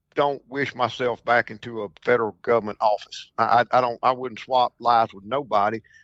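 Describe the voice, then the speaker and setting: With a Mississippi accent, a man talks at a fairly quick pace using fairly even intonation. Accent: Mississippi Southern. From Mississippi Delta, US South. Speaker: duck hunting broker. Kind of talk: podcast interview. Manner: halting, repeats words.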